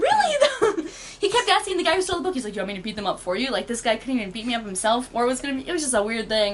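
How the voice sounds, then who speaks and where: Over noticeable background noise, a woman talks very fast in a high, animated voice that swings very widely in pitch. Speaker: artist. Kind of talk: casual chat. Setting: at home.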